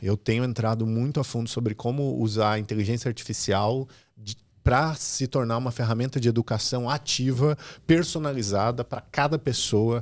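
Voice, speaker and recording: He talks at a moderate pace and a medium pitch. This man has an ordinary speaking voice with ordinary pitch variation. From Brazil, Rio Grande do Sul (Santa Cruz do Sul). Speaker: digital platform executive. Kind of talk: interview.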